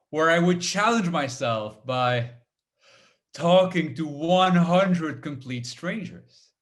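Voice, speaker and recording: Against audible room echo, a man speaks at a very slow pace and a fairly high pitch with lively intonation. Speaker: motivational speaker and comedian. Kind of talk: keynote talk. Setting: webinar. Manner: halting, repeated words.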